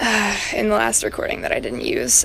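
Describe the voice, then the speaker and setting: Noticeable background noise sits behind the speaker. A woman talks at a moderate pace. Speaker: vlogger. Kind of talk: casual monologue. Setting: outdoors. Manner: halting.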